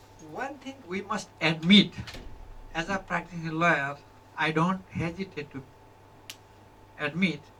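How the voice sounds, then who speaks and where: The speaker talks fairly slowly with long, frequent pauses, big swings in loudness, and ordinary pitch variation over noticeable background noise. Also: woman, fairly low pitch for a woman. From Nepal. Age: 70s. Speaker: lawyer and mediation trainer. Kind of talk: lecture.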